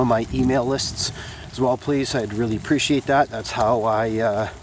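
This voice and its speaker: The intonation stays fairly even over noticeable background noise. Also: man. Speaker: vlogger and small business owner. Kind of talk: casual vlog monologue. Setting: outdoors walking on a track in the rain. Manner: halting, many fillers.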